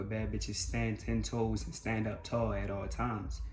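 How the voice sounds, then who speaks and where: Speaking at a moderate pace, a man with a very deep, low pitch and vocal fry makes very wide pitch swings, with audible room echo around him. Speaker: life coach. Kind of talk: motivational monologue. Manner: loud; animated.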